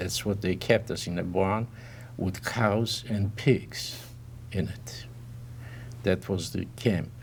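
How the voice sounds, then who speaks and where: A man speaks very slowly with a fairly low pitch and vocal fry. His intonation is lively, broken by long, frequent pauses. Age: 80s+. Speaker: Holocaust survivor. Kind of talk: interview answer.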